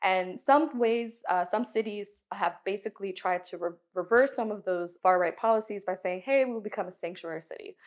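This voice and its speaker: A woman's plain, everyday voice, medium in pitch, with an American accent and hardly any pauses. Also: ordinary pitch variation, moderate pace. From Miami, Florida, US. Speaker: historian. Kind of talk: casual discussion.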